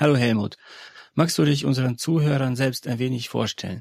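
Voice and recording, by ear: Vocal fry runs through a slightly mellow voice that moves at a fairly quick pace with ordinary pitch variation. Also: man, medium pitch for a man.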